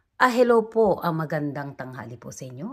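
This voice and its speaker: Female speech, very cleanly recorded against a silent background. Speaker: vlogger. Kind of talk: casual vlog talk. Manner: animated.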